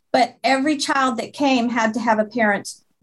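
In an American accent, a woman speaks at a moderate pace. It's a plain, everyday voice with fairly even intonation. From Montana. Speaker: marathon director. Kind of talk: interview.

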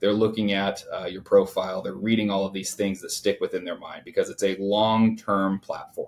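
A man with a US Midwestern accent at a moderate pace. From Indiana, US Midwest. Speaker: lawyer. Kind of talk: interview.

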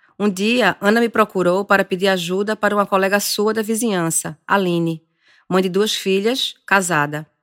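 A woman speaks in a normal speaking voice at medium pitch and a moderate pace, with fairly even intonation. The sound is dry and close with no echo. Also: very clean recording, silent background. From Brazilian Northeast. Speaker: journalist and podcast host. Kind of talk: scripted narration.

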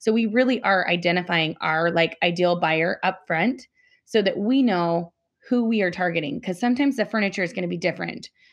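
A woman with an American accent has a plain, everyday voice at a medium pitch. She talks at a fairly quick pace with ordinary pitch variation against a quiet background. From Utah. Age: 40s. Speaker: home staging business owner. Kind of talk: podcast interview.

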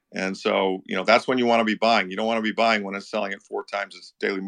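Speaking very fast with hardly any pauses, a man keeps a monotone, flat intonation amid big swings in loudness, in a dry, close sound with no echo against a quiet background. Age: 60s. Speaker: investor and Bitcoin and gold commentator. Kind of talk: casual chat. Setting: online audio room.

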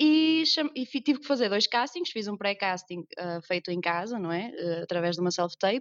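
With very wide pitch swings, a woman speaks at a moderate pace. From northern Portugal. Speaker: actress. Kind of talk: casual interview chat.

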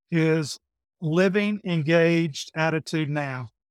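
In a very clean recording with a silent background, a man speaks with a Southern US accent. His pitch is high and his intonation fairly even. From Georgia, US South. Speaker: manufacturing operations manager and lean practitioner. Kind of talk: casual interview conversation.

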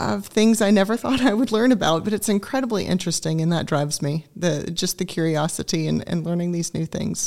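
An unremarkable speaking voice with an American accent and lively intonation. The pace is moderate. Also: woman. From Augusta, Georgia, US South. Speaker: communications professional. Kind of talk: radio interview.

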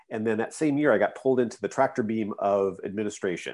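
Against a quiet background, a man with an American accent talks at a fairly quick pace with ordinary pitch variation. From US Pacific Northwest, Vancouver, Washington. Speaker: librarian and school administrator. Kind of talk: casual interview. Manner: halting, many fillers.

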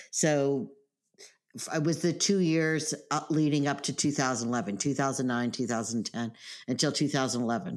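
On a very clean recording with a silent background, a woman with a very deep, low voice speaks at a moderate pace with ordinary pitch variation. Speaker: podcast host and real estate professional. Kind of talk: interview, casual chat.

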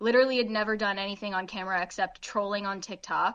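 A woman speaks at a fairly quick pace in an unremarkable speaking voice, medium in pitch, against a quiet background. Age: 20s. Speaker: pop culture show co-host. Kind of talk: casual interview chat.

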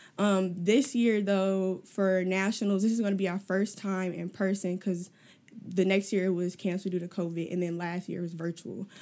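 A woman's medium-pitched voice with a dark, mellow tone, monotone, flat intonation and a moderate pace. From US Midwest, South Side of Chicago. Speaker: student organization president. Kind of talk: casual interview.

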